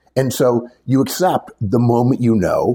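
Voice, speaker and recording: A man's somewhat breathy voice sits at medium pitch with a dark, mellow tone. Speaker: career advice podcast host. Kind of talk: advice talk, conversational. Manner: emphatic, opinionated.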